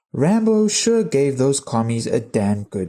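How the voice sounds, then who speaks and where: Soft-spoken and dark, with a mellow tone, a man talks at a very slow pace with very wide pitch swings in a very clean recording over a silent background. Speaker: gaming history video creator. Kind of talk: scripted narration. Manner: soft, sleepy.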